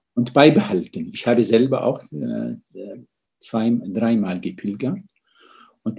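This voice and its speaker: A man's voice with vocal fry and a dark, mellow tone, at a fairly slow pace. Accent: Arabic. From Syria, Damascus. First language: Arabic (speaking German). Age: 60s. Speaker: physician and medical ethicist. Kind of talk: interview.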